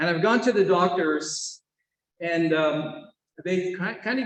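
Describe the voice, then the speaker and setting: This man has an American accent and a high voice. He talks at a moderate pace with ordinary pitch variation. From US Northeast, Mohawk family. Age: 60s. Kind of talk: conference talk. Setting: session with live and Zoom audience. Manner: halting, many fillers.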